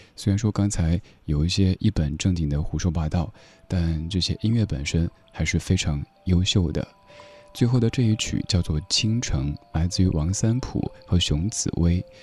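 Moderately paced male speech, very deep and low in pitch, with ordinary pitch variation amid noticeable background noise. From Sichuan, China. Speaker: music podcast host. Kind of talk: scripted music show narration.

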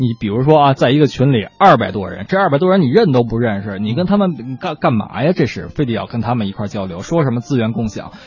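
A man speaks at a medium pitch and a very fast pace with hardly any pauses. His pitch swings very widely over noticeable background noise. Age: 30s. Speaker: radio co-host, songwriter. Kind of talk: casual chat.

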